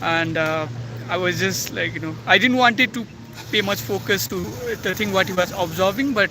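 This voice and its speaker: A man's high voice swings very widely in pitch at a moderate pace, set against noticeable background noise. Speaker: YouTuber. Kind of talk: personal reflection vlog. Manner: halting, many fillers and self-corrections.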